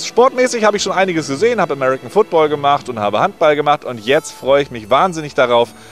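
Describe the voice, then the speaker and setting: Over faint music in the background, a man with a fairly high pitch talks at a very fast pace with hardly any pauses, very wide pitch swings and big swings in loudness, all in a dry sound with no echo. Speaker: stadium announcer. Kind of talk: casual talk to camera. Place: stadium. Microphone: handheld.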